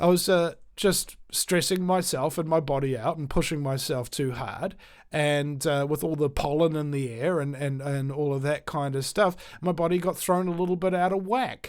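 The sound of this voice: Over a silent background in a very clean recording, a man speaks at a moderate pace with ordinary pitch variation. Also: fairly high pitch for a man.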